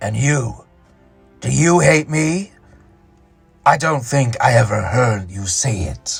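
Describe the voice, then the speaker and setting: A man uses a put-on character voice at a medium pitch, speaking at a fairly slow pace. He leaves long, frequent pauses while faint music plays in the background. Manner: mocking, sardonic.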